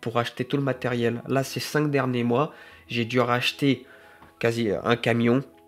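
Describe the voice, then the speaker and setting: In a medium register, the man talks with a monotone, flat intonation. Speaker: gardener and self-employed small business owner. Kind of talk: unscripted vlog monologue. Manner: halting, many fillers and self-corrections.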